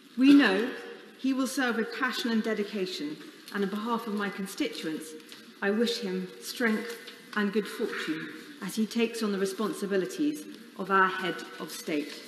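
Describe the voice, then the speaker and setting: There is audible room echo and light background noise as a woman talks at a moderate pace, leaving long, frequent pauses. Her tone is warm, and her pitch varies in an ordinary way. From England. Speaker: member of parliament. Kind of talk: solemn parliamentary eulogy tribute. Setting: chamber of parliament. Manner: formal, measured and reverent; warm, with a light wry laugh. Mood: solemn, mournful, emotional. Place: hall.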